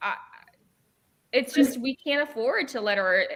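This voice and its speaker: Animated in tone, a woman talks at a moderate pace with ordinary pitch variation. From born in China, grew up partly in England then US. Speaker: political commentator. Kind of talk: casual panel chat.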